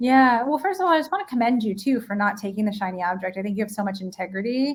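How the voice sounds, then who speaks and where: A woman with an American accent, fairly high in pitch and somewhat breathy, at a very fast pace with ordinary pitch variation. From New York. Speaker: leadership and mindset coach. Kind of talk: live-streamed interview.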